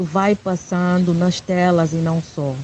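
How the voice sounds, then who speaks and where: This woman's voice sits fairly low. Her pitch is fairly low for a woman. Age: 40s. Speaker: poet and spoken-word performer. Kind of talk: interview. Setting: WhatsApp call.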